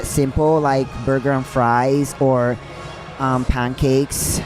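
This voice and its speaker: A woman with a Puerto Rican accent speaks at a fairly slow pace, with music in the background. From Puerto Rico. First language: Spanish. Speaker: professional bodybuilder. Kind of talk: casual chat. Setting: live at a gym opening event.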